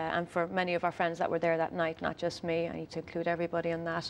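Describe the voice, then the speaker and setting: A woman with an Irish accent speaks at a fairly low pitch. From Ireland, County Louth. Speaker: singer-songwriter. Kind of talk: TV interview. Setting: TV studio.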